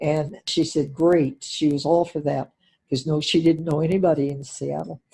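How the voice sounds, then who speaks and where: Somewhat breathy and dark, mellow in tone, the voice moves at a moderate pace with ordinary pitch variation. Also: woman. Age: 90s. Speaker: interviewee. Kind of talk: casual chat. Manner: halting.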